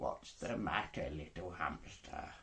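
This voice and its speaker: This man talks at a fairly slow pace. He uses a put-on character voice. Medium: read story.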